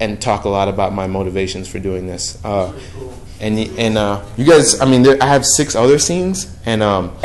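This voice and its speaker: A speaker with an American accent talks at a moderate pace with ordinary pitch variation, with audible room echo and noticeable background noise. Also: man, fairly low pitch for a man. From New York, Brooklyn. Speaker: touring theater performer. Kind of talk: casual chat. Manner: halting.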